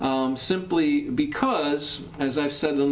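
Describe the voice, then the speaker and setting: A man talks fairly slowly with light noise in the background. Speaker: jacket reviewer. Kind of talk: casual commentary. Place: studio.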